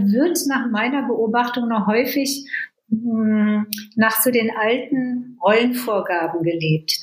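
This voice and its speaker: A woman talks at a very slow pace, her fairly high voice showing ordinary pitch variation. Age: 70s. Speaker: coach. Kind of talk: interview.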